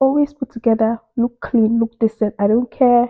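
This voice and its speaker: At a moderate pace, a woman with a Nigerian accent speaks at a fairly high pitch. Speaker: immigrant career advice vlogger. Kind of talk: casual advice monologue. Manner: animated.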